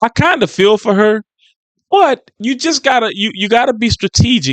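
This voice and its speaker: The dry, close sound with no echo carries a man speaking with an American accent at a moderate pace. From US South, Louisiana (New Orleans West Bank). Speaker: YouTube commentator. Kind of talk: reaction commentary. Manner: casual, repetitive with false starts.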